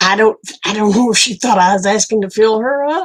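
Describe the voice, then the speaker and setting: A woman with an Oklahoma accent talks at a moderate pace. Her pitch is fairly high, and her intonation is lively. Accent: Okie. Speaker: livestreamer. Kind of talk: casual chat.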